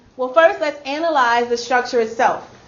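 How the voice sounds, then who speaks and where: A woman talks at a moderate pace in a high voice. Background noise is noticeable. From Louisiana. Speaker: instructional coach leading teacher training. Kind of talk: professional development workshop.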